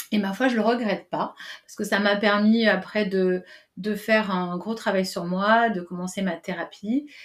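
The voice is somewhat breathy, moves at a fairly slow pace, and swings widely in loudness. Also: woman. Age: 40s. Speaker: coach and trainer. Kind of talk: interview.

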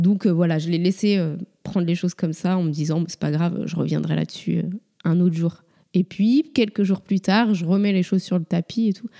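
At a moderate pace, the voice has a dark, mellow tone and fairly even intonation, with a dry, close sound and no echo. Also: woman, fairly low pitch for a woman. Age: 30s. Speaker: mother sharing her story. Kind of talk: interview testimony.

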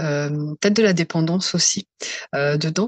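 A woman with fairly even intonation. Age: 40s. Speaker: psycho-emotional therapist. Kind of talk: testimony.

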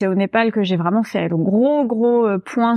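The speaker is a woman with ordinary pitch variation. She talks at a fairly slow pace. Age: 30s. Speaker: narrative coach and storytelling trainer. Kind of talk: podcast interview. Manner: animated.

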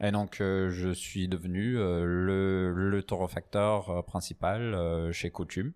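A man speaks at a very slow pace with a very deep, low pitch. His intonation is monotone and flat, with hardly any pauses. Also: very even loudness, very clean recording, silent background. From northern England, Newcastle. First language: English (speaking French). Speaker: coffee roaster and barista. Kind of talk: casual interview. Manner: halting, many fillers and repetitions.

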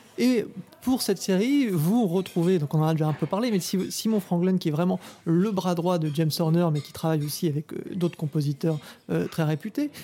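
The recording is very clean, and the background is silent. The pace is moderate. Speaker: podcast host. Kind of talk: interview. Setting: bistro.

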